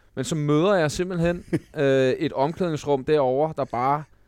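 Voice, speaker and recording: A man talks at a fairly slow pace in a normal speaking voice, pitched fairly high for a man. His intonation stays fairly even against a quiet background. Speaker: podcast co-host, former footballer. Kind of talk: casual chat.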